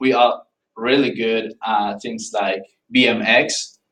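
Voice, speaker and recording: A man talks in a Paisa Colombian accent. His intonation is lively. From Colombia, Paisa region (Central Andes). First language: Spanish. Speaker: student. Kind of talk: informative class speech. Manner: halting, with restarts and fillers.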